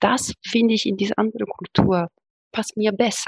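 Using ordinary pitch variation and a moderate pace, a woman speaks with an Italian accent, the sound dry and close with no echo. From Italy, Rome. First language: Italian (speaking German). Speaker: academic, podcast guest. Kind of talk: casual interview.

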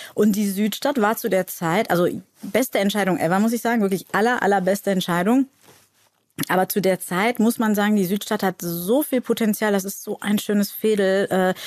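A woman speaks in an ordinary speaking voice at medium pitch and a moderate pace, with fairly even intonation and a dry, close sound with no echo. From Cologne, Germany. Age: 40s. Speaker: actress and shop owner. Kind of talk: casual chat. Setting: studio.

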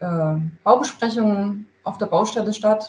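A woman talks with a somewhat breathy voice. Her intonation is lively and her pace fairly slow. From Thuringia, Gera (eastern Germany). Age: 30s. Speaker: construction project manager. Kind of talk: interview. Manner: hesitant, many filler sounds.

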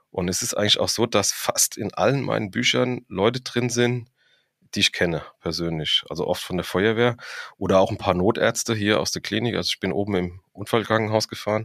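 With a strong Frankfurt accent, a man talks at a fairly quick pace with ordinary pitch variation, the sound dry and close with no echo and the recording very clean over a silent background. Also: fairly low pitch for a man. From Frankfurt am Main, Hesse. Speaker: professional firefighter and crime novelist. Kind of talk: casual interview.

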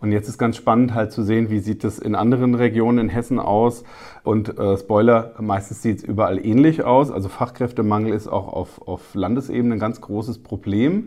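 A man in a normal speaking voice talks at a medium pitch and a moderate pace. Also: fairly even intonation. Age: 40s. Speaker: newspaper reporter. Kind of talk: casual interview.

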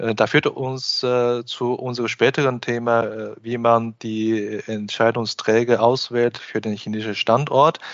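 A man at a medium pitch speaks at a fairly slow pace in monotone, flat intonation, with hardly any pauses. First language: Chinese (speaking German). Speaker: podcast host and business consultant. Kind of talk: interview. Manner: hesitant, frequent filler sounds.

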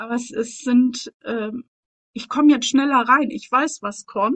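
Ordinary pitch variation runs through speech delivered at a fairly slow tempo. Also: woman, dry, close sound with no echo. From East Germany. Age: 40s. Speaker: mentor. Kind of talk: personal testimony. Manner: halting.

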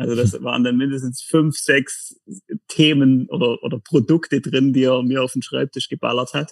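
At a moderate pace, a man speaks with fairly even intonation and medium pitch. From Lake Constance region, southern Germany. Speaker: company executive. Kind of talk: podcast interview. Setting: video call. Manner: hesitant, many fillers.

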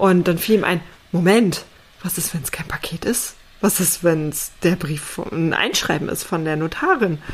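Fairly slow speech from a woman, fairly low-pitched, with normal pitch movement. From East Germany. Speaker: podcast co-host, home renovator. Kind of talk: casual chat. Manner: animated.

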